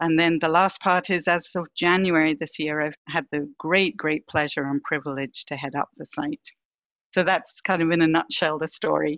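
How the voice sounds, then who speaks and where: With a slight British accent, a woman speaks at a moderate pace in a very deep, low voice with fairly even intonation. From Britain. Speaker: vaccine research executive. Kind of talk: podcast interview.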